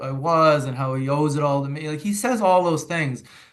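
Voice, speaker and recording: A man speaks in a fairly high pitch. Audible room echo surrounds his voice. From Massachusetts, near Boston. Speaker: author and father. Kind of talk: interview. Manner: halting, many repeated words.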